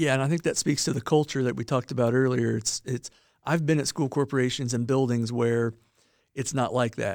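At a fairly quick pace and medium pitch, a man speaks with fairly even intonation in a dry, close sound with no echo, in a very clean recording with a silent background. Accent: Midwestern American. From northern Indiana. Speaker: school superintendent. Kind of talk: interview. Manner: halting, many fillers.

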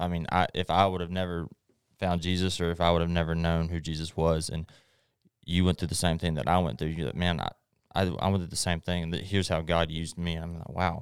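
A man with a Texan accent talks at a very fast pace in a very deep, low pitch and monotone, flat intonation. The recording is very clean, with a silent background. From East Texas. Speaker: guest. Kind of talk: testimony.

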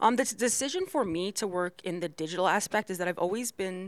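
A woman speaks in a plain, everyday voice at a fairly quick pace. Her medium-pitched delivery has lively intonation on a very clean recording with a silent background. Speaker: graphic designer. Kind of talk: casual chat.

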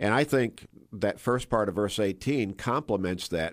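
A man's normal speaking voice, fairly low in pitch, with an American accent, ordinary pitch variation and a fairly slow pace. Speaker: church pastor. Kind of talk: Bible discussion interview. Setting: radio studio.

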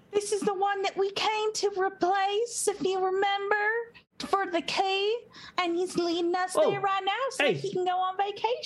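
A put-on character voice with a Southern accent, extremely high pitch and a moderate pace. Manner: helpful, friendly.

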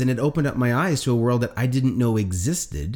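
A somewhat breathy man at a medium pitch with a Canadian accent, a fairly quick pace and lively intonation, in a very clean recording with a silent background. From Atlantic Canada. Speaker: sales coach. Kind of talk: casual interview.

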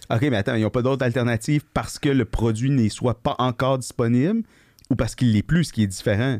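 In a dry, close sound with no echo, a man with an unremarkable speaking voice talks at a medium pitch and a fairly quick pace, with ordinary pitch variation and very even loudness. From Quebec, Gatineau. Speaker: podcast co-host, veterinarian. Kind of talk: casual chat. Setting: studio.

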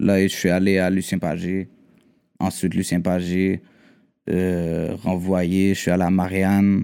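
At a very slow pace with long, frequent pauses, a man with a Quebec accent speaks in a very deep, low, dark and mellow voice with monotone, flat intonation on a very clean recording with a silent background. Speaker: rapper. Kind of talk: casual chat.

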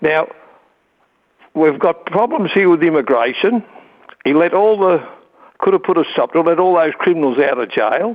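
A man with an Australian accent speaks at a moderate pace in a high voice, his intonation lively and his loudness very even, with long, frequent pauses. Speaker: talkback caller. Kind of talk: talkback call. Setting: phone call.

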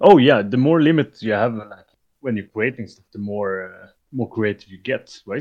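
A man speaks at a moderate pace in a medium pitch. His loudness swings widely, while his pitch variation is ordinary. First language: not English. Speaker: hobby miniature painter. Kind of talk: casual chat.

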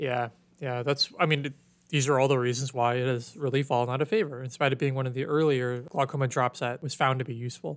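Delivered at a very fast pace, the speech sits on a very clean recording with a silent background. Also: man, medium pitch for a man, fairly even intonation. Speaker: ophthalmology podcast host. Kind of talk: educational podcast discussion. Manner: casual, conversational.

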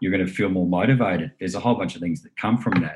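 A man with an Australian accent has a very deep, low pitch and fairly even intonation. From Australia, New South Wales Southern Highlands. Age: 40s. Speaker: meditation teacher. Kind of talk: interview. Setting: video call.

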